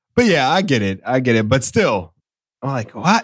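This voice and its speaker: A man speaks at a moderate pace in an American accent, with vocal fry. His pitch swings very widely. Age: 40s. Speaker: podcast host. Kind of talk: casual chat.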